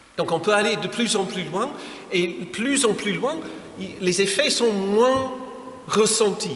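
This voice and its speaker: Amid audible room echo and noticeable background noise, a man with an English accent speaks at a very slow pace. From England. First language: English (speaking French). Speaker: pastor. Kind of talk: lecture. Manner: halting.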